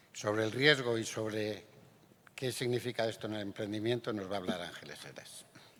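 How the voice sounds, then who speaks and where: A man talks at a fairly quick pace in a plain, everyday voice with fairly low pitch. His pitch varies in an ordinary way, while his loudness swings widely. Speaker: panel moderator. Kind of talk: moderating a panel.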